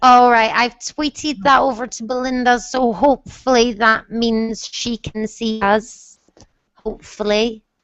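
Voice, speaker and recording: The speaker has a Scottish accent. The pace is fairly slow. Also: woman, fairly high pitch for a woman. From Scotland. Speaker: book mentor. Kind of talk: casual chat. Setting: video call. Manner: animated.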